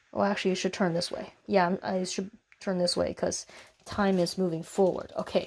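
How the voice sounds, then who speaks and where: A soft-spoken woman at a moderate pace, with monotone, flat intonation over light background noise. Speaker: physics teacher. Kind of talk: tutorial.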